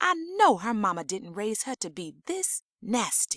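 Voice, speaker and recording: A woman with an ordinary speaking voice, lively intonation and a fairly slow pace, in a dry, close sound with no echo. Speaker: audiobook narrator. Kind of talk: fiction audiobook reading.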